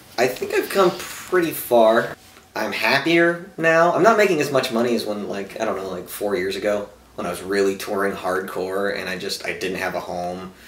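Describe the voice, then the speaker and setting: Over noticeable background noise, a man with a fairly low pitch speaks at a moderate pace, his pitch swinging very widely. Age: 30s. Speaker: stand-up comedian. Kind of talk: stand-up.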